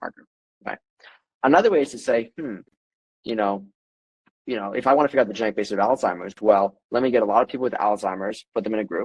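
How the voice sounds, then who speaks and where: A man with a fairly low voice talks at a very fast pace, broken by long, frequent pauses, with ordinary pitch variation. The sound is dry and close, with no echo. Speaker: genetics company CEO. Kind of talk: expert interview with screen demo.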